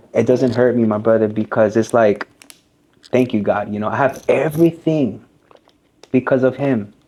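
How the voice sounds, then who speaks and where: This man, with an American accent, speaks at a medium pitch and a moderate pace. His pitch varies in an ordinary way, broken by long, frequent pauses. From US, Colombian family. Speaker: barber and business owner. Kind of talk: casual interview. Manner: casual, filler-heavy.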